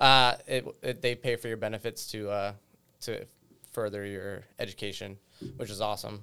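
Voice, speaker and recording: A man with an American accent speaks at a moderate pace in a fairly low pitch, his tone bright and sharp. His intonation stays flat and monotone on a very clean recording with a silent background. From western Massachusetts, rural. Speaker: staff sergeant. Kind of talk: casual panel discussion.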